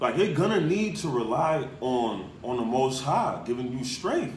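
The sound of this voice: A man's voice swings widely in pitch amid audible room echo. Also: medium pitch for a man, fairly slow pace.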